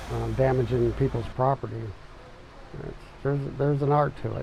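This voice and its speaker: A man speaks at a moderate pace with an American accent. The room gives off audible echo. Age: 60s. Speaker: tree service business owner. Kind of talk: documentary interview.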